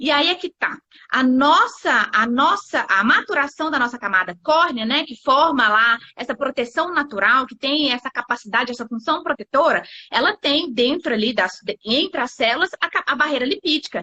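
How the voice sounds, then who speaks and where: A woman's voice sits at a high pitch. Her intonation is lively. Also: moderate pace. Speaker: stomatherapy nurse specialist. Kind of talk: live webinar presentation.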